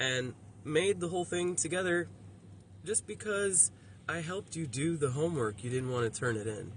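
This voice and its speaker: With an American accent, a man speaks at a moderate pace in a fairly high, somewhat breathy voice, his pitch swinging very widely. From Miami, Florida. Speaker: vlogger. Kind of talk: casual vlog monologue. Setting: outdoors by the roadside. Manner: halting, affected by brain injury.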